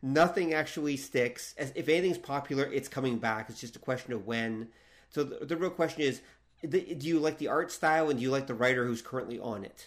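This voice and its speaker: Speaking at a fairly quick pace with a normal speaking voice, a man uses a fairly high pitch and ordinary pitch variation. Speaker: podcast host. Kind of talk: casual interview chat.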